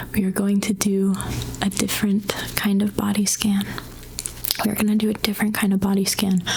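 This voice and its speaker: A soft-spoken voice moves at a fairly quick pace, broken by long, frequent pauses, over noticeable background noise. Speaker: mental health counselor. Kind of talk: ASMR guided anxiety exercise.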